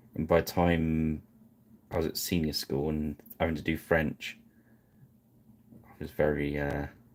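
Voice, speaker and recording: A man's very deep, low voice with an English accent, monotone and flat, at a fairly slow pace with long, frequent pauses. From England. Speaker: miniature painting streamer. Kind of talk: live painting stream chat. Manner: halting.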